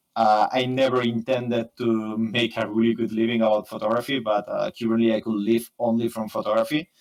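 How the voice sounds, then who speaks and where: Fairly quick, monotone, flat speech in a Spanish accent, with hardly any pauses. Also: man, medium pitch for a man. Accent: Spanish accent, imperfect English. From Spain, Barcelona. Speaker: photographer and software engineer. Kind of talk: interview. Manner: fast; halting, many fillers.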